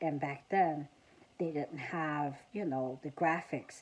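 In a Southern US accent, a woman with a very deep, low pitch talks at a fairly slow pace with fairly even intonation. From South Carolina. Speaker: vlogger. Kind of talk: casual vlog monologue. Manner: halting, many fillers. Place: home room. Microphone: phone near.

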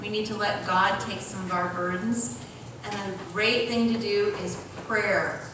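Over noticeable background noise and audible room echo, a woman speaks at a fairly slow pace with ordinary pitch variation. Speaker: church health presenter. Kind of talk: health talk and prayer. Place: church. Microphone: podium.

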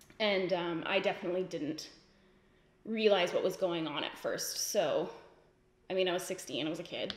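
Long, frequent pauses break up a woman's speech, her intonation fairly even, with audible room echo and light background noise. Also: moderate pace. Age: 20s. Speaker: beauty youtuber; beauty vlogger. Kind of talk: casual chat. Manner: casual, filler-heavy. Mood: candid, reflective. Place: home room.

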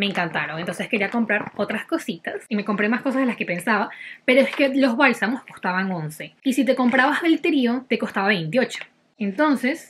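Very wide pitch swings at a fairly quick pace, over light background noise. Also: woman. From Venezuela. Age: 20s. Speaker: lifestyle vlogger. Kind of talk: casual haul talk to camera. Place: home room. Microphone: phone near.

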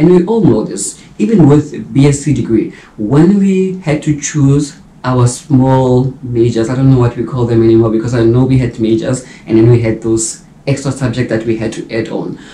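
With a dark, mellow tone and a somewhat breathy quality, a man speaks at a moderate pace amid light background noise and audible room echo. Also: ordinary pitch variation. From South Africa. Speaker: YouTuber and mature medical student. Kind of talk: vlog monologue. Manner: casual, conversational. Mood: reflective, earnest. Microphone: camera far.

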